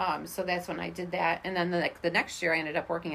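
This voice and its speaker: A woman talks at a very fast pace. Her voice is fairly low, with vocal fry. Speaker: teacher, friend of host. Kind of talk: casual chat.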